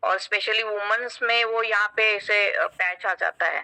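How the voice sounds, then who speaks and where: The recording of this woman is dry and close, with no echo. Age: 50s. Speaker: doctor giving product testimonial. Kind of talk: testimony. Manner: halting, frequent fillers.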